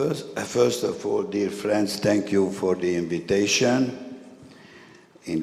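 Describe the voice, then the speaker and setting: Someone with a Hungarian accent speaks at a very slow pace, with noticeable background noise and audible room echo. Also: man. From Hungary. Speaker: historian and activist. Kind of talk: conference speech read from text. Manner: halting.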